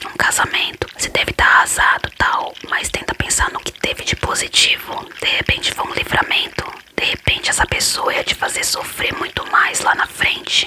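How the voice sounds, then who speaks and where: Someone whispers at a moderate pace with hardly any pauses over noticeable background noise. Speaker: ASMR creator. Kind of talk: ASMR whispered Q&A talk. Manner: whispered.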